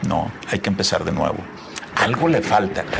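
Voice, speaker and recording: Noticeable background noise accompanies this recording. A man talks at a fairly quick pace. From Tamaulipas, northern Mexico. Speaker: entrepreneur and philanthropist. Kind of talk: interview.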